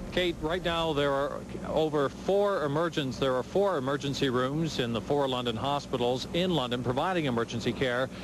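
Fairly quick speech from a man, dry with no echo, over noticeable background noise. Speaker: TV news reporter. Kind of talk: live news report. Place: street. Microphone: handheld.

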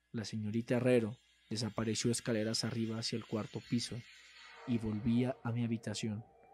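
This man talks at a fairly quick pace with a dramatic tone, a medium pitch and monotone, flat intonation. Music plays in the background. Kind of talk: horror story narration, reading aloud. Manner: formal, dramatic, gloomy storytelling.

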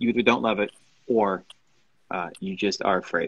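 This man's voice sits fairly low, with a fairly bright tone and a slightly husky edge. He speaks at a moderate pace with ordinary pitch variation.

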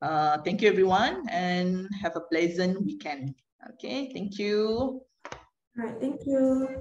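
Speaking very slowly over a quiet background, a woman uses lively intonation. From Malaysia. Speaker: moderator. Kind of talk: webinar moderation. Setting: video call. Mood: friendly, polite. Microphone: video call.

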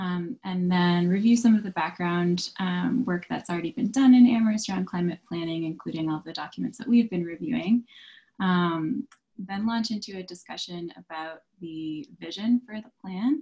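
A woman talks at a moderate pace and medium pitch, with hardly any pauses and ordinary pitch variation. Her tone is dark and mellow, somewhat breathy, with big swings in loudness. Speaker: sustainability consultant. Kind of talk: virtual committee meeting presentation. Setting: video call. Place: home room. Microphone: video call.

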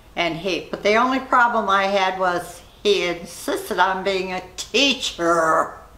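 Audible room echo surrounds a woman's voice. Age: 90s. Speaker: interviewee. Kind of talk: interview; interview answer. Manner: halting. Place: home room.

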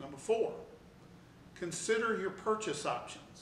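Light background noise and audible room echo around a man talking at a moderate pace. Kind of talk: tutorial. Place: office.

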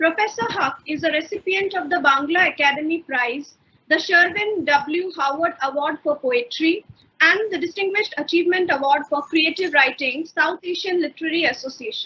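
Her voice is extremely high in pitch as this woman speaks at a moderate pace. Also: ordinary pitch variation. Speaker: webinar host. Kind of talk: formal welcome address. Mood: polite, formal. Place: home room. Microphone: webcam.

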